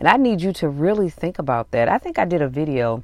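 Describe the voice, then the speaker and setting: The recording is very clean and the background silent. The speaker is a woman. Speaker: podcast host. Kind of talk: podcast commentary reading out notes from a sermon.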